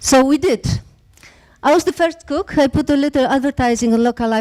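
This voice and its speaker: A woman with a Polish accent speaks at a fairly quick pace. Her tone is dark and mellow, her intonation lively. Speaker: startup founder. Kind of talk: pitch talk. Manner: halting.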